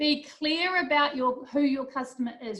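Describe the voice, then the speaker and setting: With a New Zealand accent, a woman speaks at a high pitch. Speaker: business instructor. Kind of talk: lecture.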